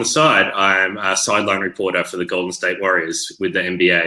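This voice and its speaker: In an Australian accent, a man with a fairly low pitch and a bright, sharp tone speaks at a moderate pace. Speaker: online learning professional and sideline sports reporter. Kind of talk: interview on live video chat.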